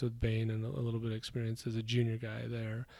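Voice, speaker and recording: In an American accent, the speaker rushes at a very fast pace with a somewhat breathy, dark and mellow voice and flat, monotone intonation. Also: man. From Idaho, rural US West. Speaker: real estate investor. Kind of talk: interview. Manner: halting, many repetitions.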